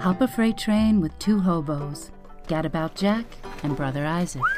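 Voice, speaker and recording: With music in the background, a woman at a fairly low pitch speaks at a moderate pace with lively intonation. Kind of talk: movie trailer.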